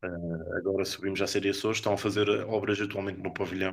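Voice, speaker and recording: A man at a fairly quick pace with monotone, flat intonation, on a very clean recording with a silent background. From Azores, Corvo island. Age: 20s. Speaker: youth politician. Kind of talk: interview.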